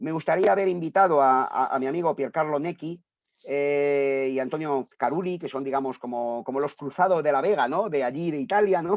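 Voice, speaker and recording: A man's fairly high voice shows ordinary pitch variation as he talks at a fairly quick pace. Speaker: translator and philosophy scholar. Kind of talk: book presentation talk. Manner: fast; halting, many fillers.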